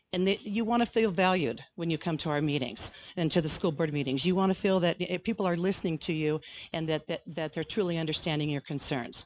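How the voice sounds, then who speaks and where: Talking at a very fast pace, a woman with an Inland Northwest US accent has a fairly low pitch and ordinary pitch variation. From Idaho (Grangeville). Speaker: school board candidate, retired teacher. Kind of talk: candidate forum speech.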